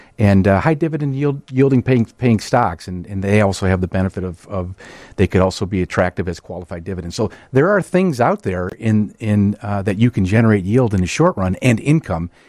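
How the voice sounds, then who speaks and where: Over a quiet background, a man talks at a fairly quick pace in a fairly low pitch, his pitch varying in an ordinary way. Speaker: wealth management executive. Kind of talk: radio interview about finances. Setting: radio studio.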